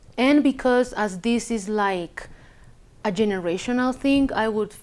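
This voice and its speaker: Here a woman speaks with a fairly high pitch and ordinary pitch variation. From Chile, Villa Alemana. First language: Spanish. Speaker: immigrant sharing life story. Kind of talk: personal testimony interview. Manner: halting, many fillers and restarts.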